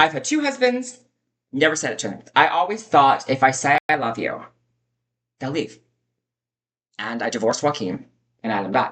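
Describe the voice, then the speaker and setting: Her very deep, low voice carries lively intonation and big swings in loudness as the woman leaves long, frequent pauses. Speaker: vlogger. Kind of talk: personal storytelling monologue. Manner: fast.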